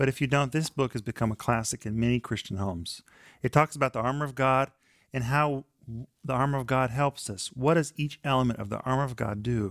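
Over a silent background on a very clean recording, a man speaks in a normal speaking voice at a fairly quick pace, with medium pitch, ordinary pitch variation and a dry, close sound with no echo. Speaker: Bible study co-host. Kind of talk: devotional teaching discussion. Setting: studio.

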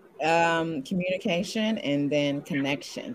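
A woman speaks at a fairly low pitch with lively intonation. Noticeable background noise runs underneath. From Indiana. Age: 30s. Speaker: dating show contestant, actress and model. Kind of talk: casual chat.

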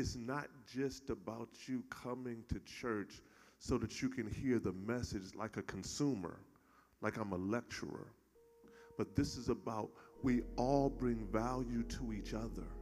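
At a fairly slow pace, a man of medium pitch speaks in a warm, animated tone with ordinary pitch variation. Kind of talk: call-and-response sermon. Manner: animated, rhythmic, crowd-prompting; warm, jovial, joking with the congregation.

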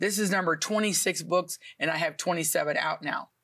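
In a normal speaking voice, a woman talks with fairly low pitch and ordinary pitch variation. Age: 60s. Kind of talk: TV talk show interview.

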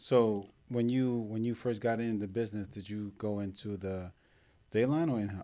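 A man with a fairly low pitch speaks in a dark, mellow tone at a moderate pace. The recording is very clean, with a silent background. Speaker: podcast host. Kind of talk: casual interview chat. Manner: animated.

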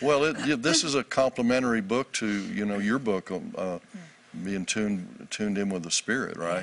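A plain, everyday voice from a man, medium in pitch, with ordinary pitch variation, a moderate pace and a quiet background. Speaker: author and minister. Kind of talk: interview about faith.

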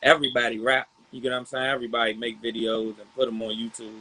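In an American accent, the speech moves along at a moderate pace. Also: man. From Southeast Washington DC. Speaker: rapper. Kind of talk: casual interview.

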